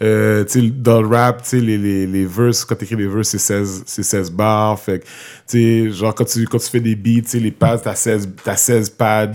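A man talks very slowly in a fairly low pitch, his intonation monotone and flat. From Quebec, Montreal. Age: 30s. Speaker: hip-hop artist and youth worker. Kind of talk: casual interview.

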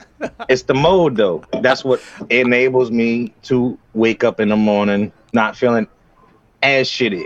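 A man with a normal speaking voice talks at medium pitch and a fairly slow pace, with ordinary pitch variation. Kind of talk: casual chat. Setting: home studio.

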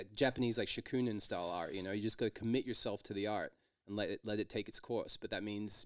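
A man with an Australian accent at a very fast pace, fairly low in pitch, with fairly even intonation and a dry, close sound with no echo. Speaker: stand-up comedian. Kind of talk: casual chat.

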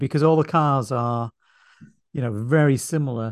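A man speaks in a plain, everyday voice at a moderate pace. His pitch varies in an ordinary way. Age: 50s. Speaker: podcast host. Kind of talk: casual chat.

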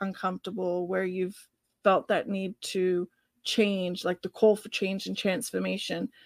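A woman with an Australian accent speaks at a moderate pace in a very clean, dry, close recording with a silent background and no echo. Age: 40s. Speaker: podcast co-host. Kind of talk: casual interview chat.

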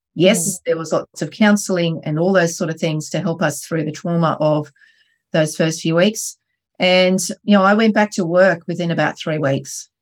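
A woman speaks with an Australian accent at a moderate pace and a fairly low pitch. Her intonation is fairly even, and the recording is very clean with a silent background. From Australia, Wollongong. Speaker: entrepreneur. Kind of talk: interview storytelling.

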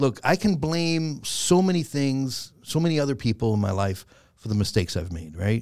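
In a very clean recording with a silent background, the speaker goes at a moderate pace with very wide pitch swings. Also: man, medium pitch for a man. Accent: New York. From Bronx, New York, Puerto Rican family. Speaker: comedian and actor. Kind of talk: casual chat.

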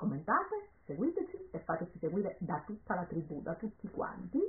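In a Calabrian accent, a woman talks at a moderate pace with an animated tone. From Calabria, southern Italy. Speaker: perfume podcast co-host. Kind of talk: casual chat.

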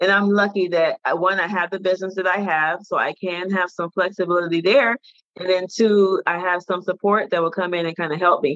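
This woman has a plain, everyday voice with an American accent. Her pitch is medium and her intonation fairly even. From Detroit, Michigan, US. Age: 40s. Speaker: anthropologist and author coach. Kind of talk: casual interview chat.

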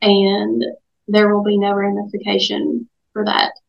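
A woman with an Appalachian accent and a medium-pitched voice. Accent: Appalachian Southern US. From Southwest Virginia, Dickenson County. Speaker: lawyer and political candidate. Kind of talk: radio interview.

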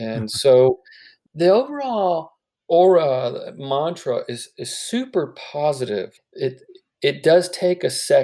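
Speaking at a very slow pace, a man swings widely in loudness. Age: 50s. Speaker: healthcare entrepreneur, founder of a cancer art company. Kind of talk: interview.

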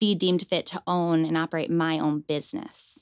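In a Western New York accent, the voice comes through dry and close with no echo, in a very clean recording with a silent background. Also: woman. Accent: Western New York (Inland North) American. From Western New York, Rochester. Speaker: food trailer owner and cannabis activist. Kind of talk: casual interview.

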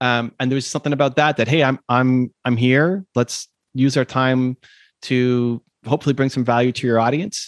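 Heard in a dry, close sound with no echo, a man with a normal speaking voice keeps his loudness very even and his intonation fairly even. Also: medium pitch for a man, moderate pace. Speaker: entrepreneur and YouTube creator.

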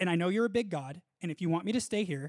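Speaking at a very fast pace, a man uses a high pitch and lively intonation. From Southern California. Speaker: actor. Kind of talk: testimony interview.

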